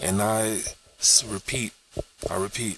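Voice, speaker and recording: A man with a fairly deep voice speaks rather slowly while noticeable noise fills the background. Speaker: YouTuber. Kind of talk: casual vlog monologue. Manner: casual, repetitive, halting at times.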